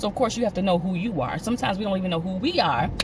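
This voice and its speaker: Over music in the background, a woman at medium pitch speaks with lively intonation. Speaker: vlogger. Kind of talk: casual monologue. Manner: fast; halting.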